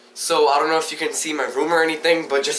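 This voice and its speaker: A man speaks at a fairly quick pace. Noticeable background noise and audible room echo surround him. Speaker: vlogger. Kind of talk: casual chat. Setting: bedroom video recording. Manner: animated; halting.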